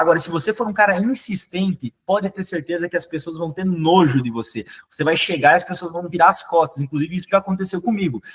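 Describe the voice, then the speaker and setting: A man in a southern Brazilian accent speaks at a very fast pace with hardly any pauses, his high pitch showing ordinary variation, in a dry, close sound with no echo. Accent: southern Brazilian (gaúcho) Portuguese. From southern Brazil, Rio Grande do Sul. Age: young. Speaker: sales manager and trainer. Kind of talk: sales training talk. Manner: hesitant, many repetitions.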